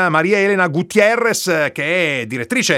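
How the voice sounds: This man's voice has a bright, sharp tone and moves at a moderate pace.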